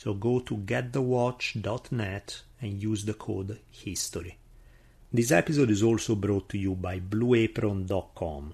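A man with an Italian accent speaks at a fairly slow pace and a fairly low pitch, using ordinary pitch variation. His voice is somewhat breathy, over a quiet background. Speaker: history podcast host. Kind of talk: scripted narration.

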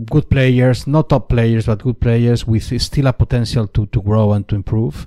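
A man with a Spanish accent, medium pitch, ordinary pitch variation, very even loudness and hardly any pauses. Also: moderate pace. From Spain. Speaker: sports commentator. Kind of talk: interview. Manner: halting, repeats words.

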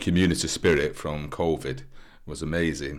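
In a Mancunian accent, a man speaks at a moderate pace with a very deep, low pitch, vocal fry and flat, monotone intonation. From Manchester, northern England. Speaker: former nurse and community volunteer organiser. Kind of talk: interview testimony. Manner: casual with frequent hesitations.

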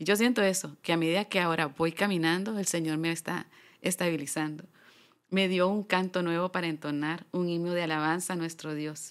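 An ordinary speaking voice moves at a fairly quick pace with fairly even intonation, recorded very cleanly against a silent background. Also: woman, fairly low pitch for a woman. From Honduras, San Pedro Sula. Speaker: gospel singer. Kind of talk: testimony.

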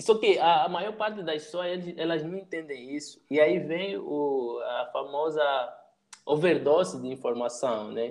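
Speaking slowly with big swings in loudness, a man with a fairly high pitch has an unremarkable speaking voice. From Angola. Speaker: youtuber and digital strategist. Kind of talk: casual chat.

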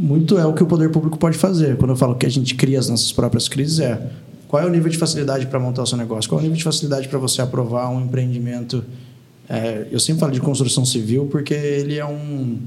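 A man talks at a very fast pace, his pitch fairly high with ordinary variation. Audible room echo and noticeable background noise fill the recording. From Taubaté, São Paulo state, Brazil. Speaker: former state legislator. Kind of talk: casual interview.

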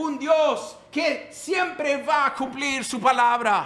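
A non-native accent comes through at a very slow pace with ordinary pitch variation. Audible room echo and noticeable background noise surround it. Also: man. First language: English (speaking Spanish). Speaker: pastor. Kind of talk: sermon.

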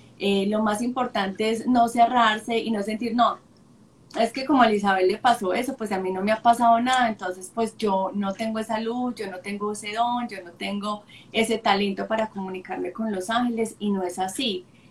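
The speaker talks at a moderate pace with fairly even intonation and big swings in loudness over noticeable background noise. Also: woman, fairly high pitch for a woman. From Colombia, Sonsón, Antioquia. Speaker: spiritual guide and communicator. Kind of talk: casual spiritual chat. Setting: Instagram live video stream. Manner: warm and gentle.

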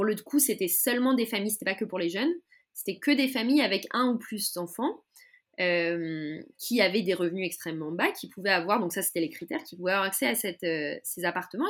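A woman speaks at a medium pitch with very wide pitch swings. Her pace is fairly quick. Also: very clean recording, silent background. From France, Paris. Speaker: political activist. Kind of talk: interview. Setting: podcast recording.

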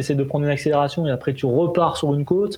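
A man's voice with a fairly high pitch. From southern France, Golfe-Juan. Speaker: triathlete. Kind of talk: interview. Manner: casual, hesitant with fillers.

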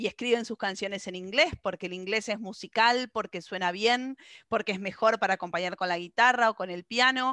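With an Argentine accent, a woman speaks at a fairly high pitch with ordinary pitch variation against a quiet background. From Argentina. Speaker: radio host. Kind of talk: radio interview.

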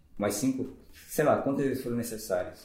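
Dark and mellow in tone, a man's medium-pitched voice carries ordinary pitch variation. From Manaus, Brazil. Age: 40s. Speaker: fitness program participant. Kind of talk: casual chat. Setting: office.

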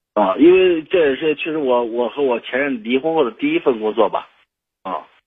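Pitched fairly high, a man speaks at a moderate pace. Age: 30s. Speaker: radio call-in listener. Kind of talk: advice call-in conversation. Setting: phone call. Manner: halting, many fillers and repetitions.

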